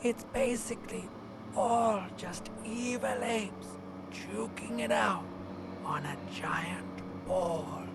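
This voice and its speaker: A put-on character voice at a very slow pace, low-to-middle in pitch, with loud background noise. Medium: game stream. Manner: sardonic, deadpan.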